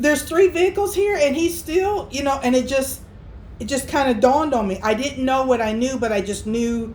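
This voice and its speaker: A woman with a high voice speaks with lively intonation at a moderate pace. Background noise is noticeable. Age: 50s. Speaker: RV camper and vlogger. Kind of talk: casual storytime talk to camera.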